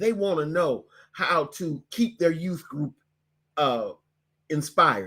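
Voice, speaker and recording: His pitch swings very widely from high to low. The man talks at a very slow pace. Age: 60s. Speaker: bishop and online business teacher. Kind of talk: webinar presentation. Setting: online webinar with screen sharing. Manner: halting, with fillers and repeats.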